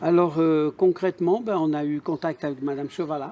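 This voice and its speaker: A man's dark, mellow voice, fairly high in pitch, with ordinary pitch variation and a dry, close sound free of echo. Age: 60s. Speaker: adult apprentice graduate. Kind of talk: interview testimony.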